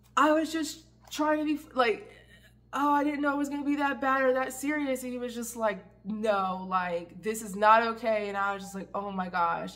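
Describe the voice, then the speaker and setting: Lively intonation with audible room echo. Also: woman. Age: 30s. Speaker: ex-Jehovah's Witness vlogger. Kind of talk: personal storytelling. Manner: halting, many fillers.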